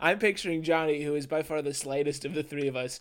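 This man has a normal speaking voice. He talks at a fairly quick pace and fairly high pitch. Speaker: podcast guest. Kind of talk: casual banter.

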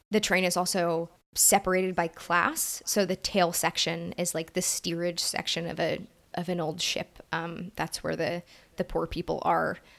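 A woman with an American accent, fairly low in pitch, flat and monotone, with vocal fry, at a moderate pace. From Brooklyn, New York. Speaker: podcast co-host. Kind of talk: casual discussion podcast.

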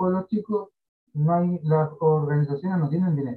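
A man is speaking. The rise and fall of his pitch is ordinary. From southern Chile, Carahue (Araucanía). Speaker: social entrepreneur. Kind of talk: interview. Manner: halting, many fillers and repetitions.

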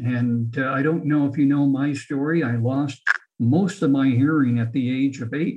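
The man's voice is somewhat breathy. His pitch variation is ordinary. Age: 60s. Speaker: healthcare executive and author. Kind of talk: interview.

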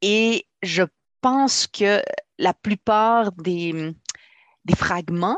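Her intonation lively and her pitch medium, a woman comes through with a dry, close sound and no echo. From Quebec, immigrated as a child. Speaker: author. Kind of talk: interview.

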